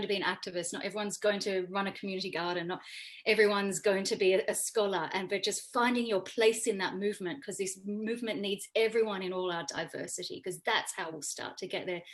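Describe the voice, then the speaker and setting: In a strong Australian accent, a woman at medium pitch races along at a very fast pace with fairly even intonation. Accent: Australian, still very obvious. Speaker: economist and campaigner. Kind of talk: panel discussion. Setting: video call.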